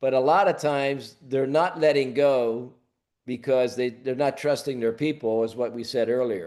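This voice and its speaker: Here a man uses a plain, everyday voice with an American accent. His pitch is medium, his pitch variation ordinary, and his pace moderate. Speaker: leadership coach. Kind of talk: webinar Q&A.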